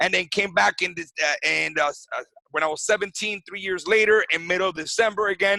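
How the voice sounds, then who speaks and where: A man speaks fairly quickly in a raised, projected voice with a high pitch. His tone is bright and sharp, and his intonation fairly even. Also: dry, close sound with no echo. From Venezuela. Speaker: wellness clinic founder. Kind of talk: podcast interview. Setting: video call. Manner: halting.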